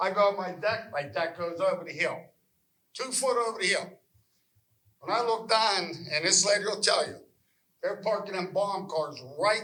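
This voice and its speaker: Someone with an American accent speaks in a raised, projected voice with a bright, sharp tone and ordinary pitch variation. The pace is moderate, with long, frequent pauses and audible room echo. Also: man, high pitch for a man. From western Pennsylvania. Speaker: local resident. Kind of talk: public meeting comment. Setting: public meeting hall. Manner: animated.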